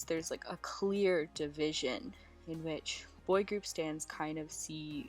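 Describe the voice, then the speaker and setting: A woman at a very slow pace over music in the background. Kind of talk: casual talk to camera.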